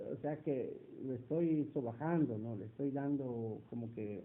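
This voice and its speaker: The man speaking has a fairly high pitch. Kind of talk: interview. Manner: hesitant, many fillers.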